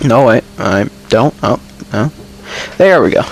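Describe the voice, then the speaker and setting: A man talks while background noise is noticeable throughout. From Finland. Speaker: gaming YouTuber. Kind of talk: voice-over commentary. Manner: hesitant, many fillers. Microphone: poor quality mic.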